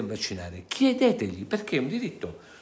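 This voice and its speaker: The man's tone is animated. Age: 60s. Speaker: lawyer and activist; lawyer. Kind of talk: monologue to viewers. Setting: studio. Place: home room. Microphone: phone near.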